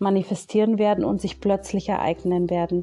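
Her pitch medium, a woman delivers her words in a monotone, flat intonation. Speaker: spiritual medium. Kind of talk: casual monologue; channeling meditation. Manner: slow.

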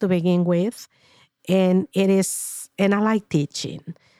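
A woman with a Spanish accent speaks at a medium pitch and a fairly slow pace. The recording is very clean with a silent background and a dry, close sound with no echo. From Paraguay. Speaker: retired teacher. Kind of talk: interview. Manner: formal.

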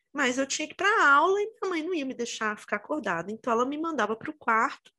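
A woman raises and projects her voice, high in pitch and bright and sharp in tone. Her pitch swings very widely. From Minas Gerais, Brazil (Itabira). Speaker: podcast co-host. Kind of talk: casual chat.

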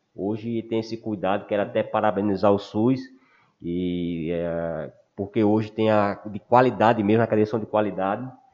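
A man's fairly low-pitched, ordinary speaking voice at a moderate pace, fairly even in intonation, against a quiet background. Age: 40s. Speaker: wheelchair athlete, sports project co-founder. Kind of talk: casual chat.

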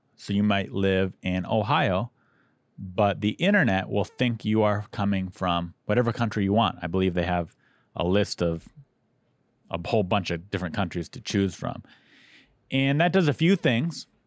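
A man's fairly low voice with ordinary pitch variation, on a very clean recording with a silent background. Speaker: podcast host and comedian. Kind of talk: casual chat. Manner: slow.

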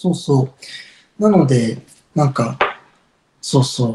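A man talks at a fairly slow pace, somewhat breathy, with ordinary pitch variation. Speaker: incense shop owner. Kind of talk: casual interview chat.

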